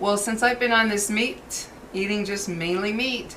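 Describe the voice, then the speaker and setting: A woman's medium-pitched voice at a moderate pace over noticeable background noise. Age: 60s. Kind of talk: casual talk to camera.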